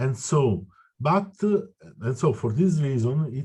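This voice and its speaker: In an Italian accent, a man with a fairly high pitch speaks at a very slow pace, his dark, mellow tone somewhat breathy over a quiet background. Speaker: citizen activist. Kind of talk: meeting discussion. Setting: video call. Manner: halting.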